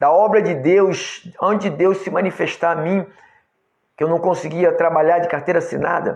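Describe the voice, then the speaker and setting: Speaking with fairly even intonation, the man has a high-pitched voice. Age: 60s. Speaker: pastor. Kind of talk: sermon. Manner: halting.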